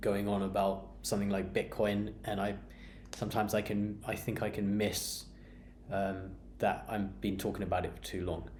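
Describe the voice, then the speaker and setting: A man's fairly low, monotone voice with flat intonation and vocal fry, at a moderate pace, with audible room echo. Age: 30s. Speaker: beer vlogger. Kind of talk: personal monologue. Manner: halting, many fillers and repeats.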